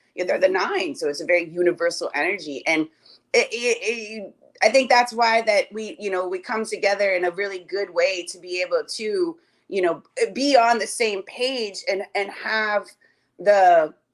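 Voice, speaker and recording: At a moderate pace, a woman uses an animated, medium-pitched voice with lively intonation. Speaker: cardology reader. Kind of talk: casual chat.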